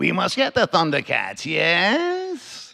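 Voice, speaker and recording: A put-on character voice at a very slow pace. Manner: scheming, villainous.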